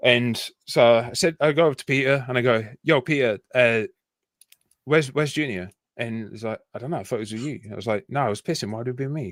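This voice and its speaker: Speaking very fast with a Yorkshire accent, a man with a medium pitch shows big swings in loudness on a very clean, dry, close recording with no echo and a silent background. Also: ordinary pitch variation. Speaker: army veteran. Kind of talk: casual chat.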